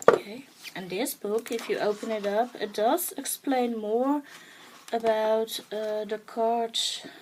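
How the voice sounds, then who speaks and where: Speaking very slowly with a Dutch accent, a woman's fairly high voice comes through noticeable background noise. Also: ordinary pitch variation. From Netherlands. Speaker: art journaling vlogger. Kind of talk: show-and-tell tutorial. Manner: halting, many fillers; enthusiastic.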